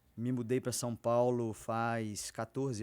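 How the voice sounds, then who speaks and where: A man with a medium pitch is captured in a very clean recording with a silent background. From interior of Rio de Janeiro state, near Minas Gerais and Espírito Santo. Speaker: physician. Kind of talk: podcast interview.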